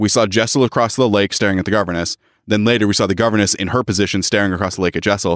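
Very fast speech from a man with a fairly low pitch and fairly even intonation. The recording is very clean with a silent background, dry and close with no echo. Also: very even loudness. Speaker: podcast co-host. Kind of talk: casual chat.

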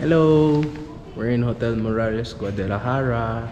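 Noticeable background noise sits under this recording. A man speaks at a fairly low pitch and a fairly slow pace. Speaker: travel vlogger. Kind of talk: casual vlog chat. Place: hall. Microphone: phone near.

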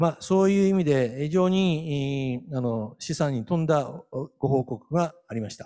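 A man talks fairly slowly in a dark, mellow tone at a fairly high pitch with ordinary variation. The background is quiet. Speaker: professor emeritus and moderator; professor emeritus, moderator. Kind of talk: conference moderation and report. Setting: online conference. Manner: formal. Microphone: podium.

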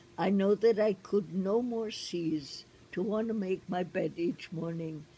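Over light background noise, a woman speaks with a dark, mellow tone that is somewhat breathy. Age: 80s+. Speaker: poetry reader. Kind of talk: poem reading aloud, reflective and intimate. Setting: outdoors. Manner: slow, unhurried, tender, with thoughtful pauses; warm, gently expressive, savoring each line. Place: garden.

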